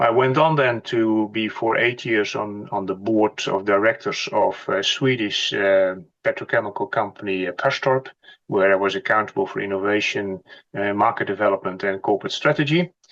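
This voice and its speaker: Speaking with a Dutch accent at a moderate pace, a man uses a fairly low pitch with ordinary pitch variation. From Netherlands. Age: 60s. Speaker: company executive. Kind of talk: interview.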